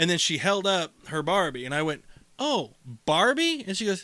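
A man's raised, projected voice, high in pitch and bright and sharp in tone, with very wide pitch swings. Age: 30s. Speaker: podcast co-host. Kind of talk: casual chat.

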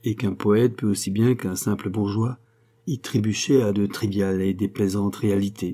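Plain reading aloud is delivered with fairly even intonation.

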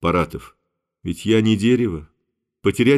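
Someone reads aloud plainly, the pitch varying in an ordinary way. Behind the voice, all is quiet.

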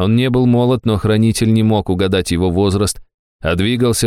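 Against a quiet background, the speaker reads aloud plainly.

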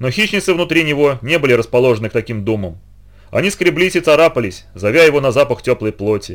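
Lively intonation in a natural reading voice.

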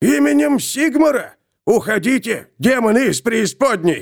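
Shouting in a put-on character voice, a man speaks at a moderate pace with extremely high pitch and very wide pitch swings. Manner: fearful, shouting.

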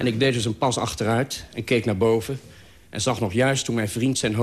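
Fairly even intonation in a natural reading voice

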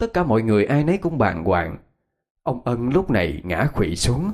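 A natural reading voice is heard over a quiet background.

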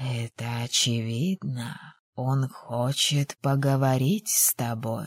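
A woman uses a put-on character voice, extremely low in pitch with a slightly husky edge. She speaks slowly with fairly even intonation, in a dry, close sound with no echo.

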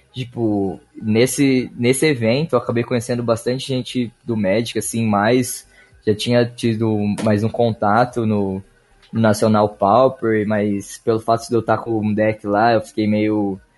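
A man with a medium-pitched voice speaks at a fairly slow pace with fairly even intonation while music plays in the background. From Brazil, Ribeirão Preto (São Paulo state). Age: 20s. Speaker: card game player. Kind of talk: casual chat.

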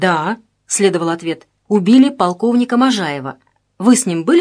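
A natural read-aloud voice with quiet behind it.

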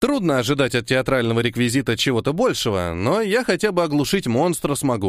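The clip is plain reading aloud.

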